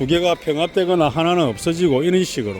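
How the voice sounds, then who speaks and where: Over music in the background, a man with a high pitch talks at a fairly quick pace with ordinary pitch variation. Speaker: YouTuber. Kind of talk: walking vlog commentary. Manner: casual, conversational.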